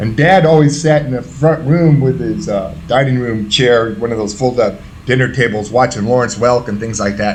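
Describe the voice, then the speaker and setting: An animated man with an American accent talks at a fairly quick pace. Audible room echo and noticeable background noise are present. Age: 60s. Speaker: former prisoner in recovery. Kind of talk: interview testimony.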